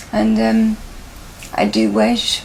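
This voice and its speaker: A woman speaks over noticeable background noise. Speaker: person living with motor neurone disease. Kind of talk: interview. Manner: halting.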